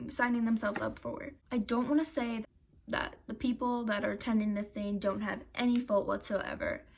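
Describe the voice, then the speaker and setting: Noticeable background noise runs under this recording. A woman speaks at a high pitch. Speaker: YouTuber. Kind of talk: commentary video. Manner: animated.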